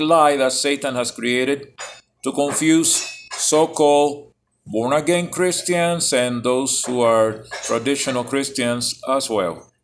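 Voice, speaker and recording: A man speaks at a very slow pace while music plays in the background. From Cuba. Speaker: self-styled apostle vlogger. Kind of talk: casual vlog monologue. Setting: cafe. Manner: loud.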